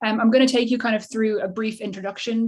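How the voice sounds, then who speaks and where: A woman with an Irish accent talks at a very fast pace over noticeable background noise. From Ireland. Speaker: behavioural scientist. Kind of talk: presentation. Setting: video call. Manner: stammering, many repeated words.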